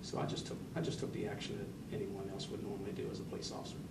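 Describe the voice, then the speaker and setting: Speaking at a fairly quick pace, a man comes through noticeable background noise and audible room echo. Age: 60s. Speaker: sheriff. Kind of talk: news interview. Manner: halting.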